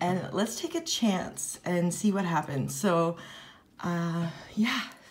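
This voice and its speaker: Over noticeable background noise, a woman talks at a very slow pace with a fairly low pitch. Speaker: plant YouTuber. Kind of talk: casual unboxing vlog. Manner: animated.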